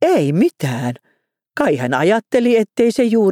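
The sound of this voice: A quiet backdrop and an unforced reading voice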